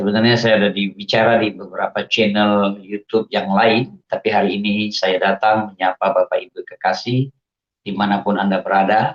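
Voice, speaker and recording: A man's fairly low voice at a moderate pace, with monotone, flat intonation and very even loudness, in a dry, close sound with no echo. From Indonesia, Aceh. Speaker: religious convert giving testimony. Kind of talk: testimony.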